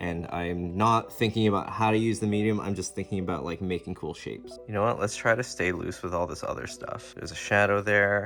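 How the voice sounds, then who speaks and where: With music in the background, a man with a fairly low pitch talks at a fairly quick pace and ordinary pitch variation. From Canada. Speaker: painter and art youtuber. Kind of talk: painting tutorial with live commentary. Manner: casual, thinking aloud.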